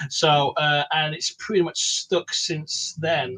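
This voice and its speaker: A man speaks with an English accent. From England. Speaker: comic creator. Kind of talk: casual chat. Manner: talkative.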